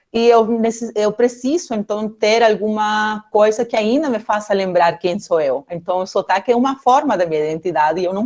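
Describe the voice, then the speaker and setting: Speaking in a Peruvian accent, a woman uses lively intonation at a fairly high pitch. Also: hardly any pauses. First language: Spanish (speaking Portuguese). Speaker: political scientist, guest lecturer. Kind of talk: academic talk. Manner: halting, many fillers.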